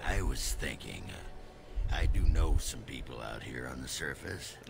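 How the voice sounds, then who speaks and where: Through clear background noise, a man speaks in a raspy, put-on character voice. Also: moderate pace. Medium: video game. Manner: gruff, crude, blustering.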